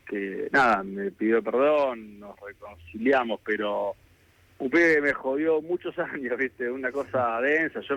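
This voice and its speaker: A man with an Argentine accent, medium pitch and a fairly slow pace. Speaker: government minister. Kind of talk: radio phone interview answer. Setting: phone line.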